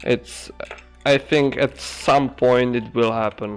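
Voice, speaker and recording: A man speaks at a medium pitch. Music plays in the background. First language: Czech. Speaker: ant-keeping streamer. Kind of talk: casual chat. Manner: halting.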